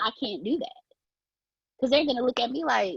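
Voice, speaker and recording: Using a raised, projected voice, a woman speaks at a high pitch with a bright, sharp tone. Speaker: speaker sharing personal story.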